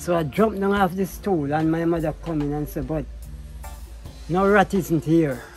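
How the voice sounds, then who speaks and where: Long, frequent pauses at a moderate pace, fairly even intonation, and music in the background. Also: man, fairly high pitch for a man. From Jamaica. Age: 70s. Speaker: self-taught artist. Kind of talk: life story interview.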